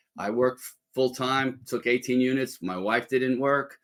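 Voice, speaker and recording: A man talks at a moderate pace and medium pitch. His intonation is monotone and flat. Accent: New York. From New York City. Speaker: former lawyer and entrepreneur. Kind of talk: interview.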